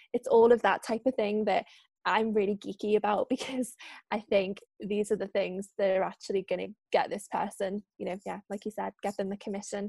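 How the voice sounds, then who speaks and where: A woman with a Liverpool accent and vocal fry, flat and monotone at a fairly quick pace, in a dry, close sound with no echo. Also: medium pitch for a woman. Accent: Liverpool (Scouse). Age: 20s. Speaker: freelance journalist and trainer. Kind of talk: casual chat.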